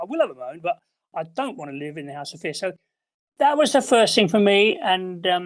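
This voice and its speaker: In an English accent, a man with a high pitch speaks at a fairly quick pace, his pitch swinging very widely. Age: 70s. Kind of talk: interview testimony.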